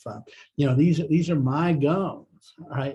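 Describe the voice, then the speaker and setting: This man's voice has a dark, mellow tone, is somewhat breathy, and shows ordinary pitch variation. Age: 60s. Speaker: business executive, dental patient. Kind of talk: testimonial. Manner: hesitant, many fillers.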